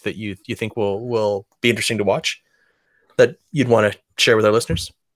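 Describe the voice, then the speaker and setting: A man speaks with an Albertan accent at a fairly quick pace. The recording is very clean, with a silent background. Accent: Canadian (Alberta). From Alberta, Canada. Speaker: podcast host. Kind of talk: political panel discussion.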